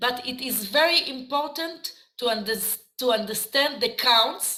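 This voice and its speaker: Someone with an Israeli accent speaks with lively intonation. Audible room echo surrounds the voice. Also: woman. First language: Hebrew. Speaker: dance teacher. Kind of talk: lecture. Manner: halting.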